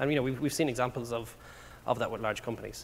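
Here a man speaks with an Irish accent. His intonation is fairly even, with vocal fry. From Ireland. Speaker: tech company product executive. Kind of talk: conference talk. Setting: stage with audience. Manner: fast talker.

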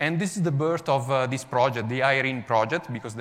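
In an Italian accent, a man speaks at a moderate pace, his medium pitch showing ordinary variation. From Italy, Milan. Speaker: software developer. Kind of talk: conference talk.

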